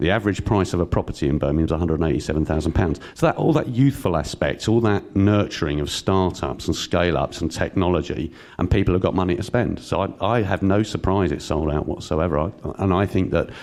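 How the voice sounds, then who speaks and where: With a London accent, a man speaks at a very fast pace with hardly any pauses. His voice is very deep and low, with ordinary pitch variation. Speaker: panelist promoting regional tech economy. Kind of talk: conference panel talk.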